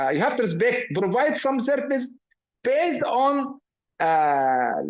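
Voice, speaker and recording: Extremely high in pitch, a man with an Arabic accent speaks at a fairly slow pace with very wide pitch swings and very even loudness. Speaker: professor. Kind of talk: lecture. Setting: video call. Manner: halting, many fillers.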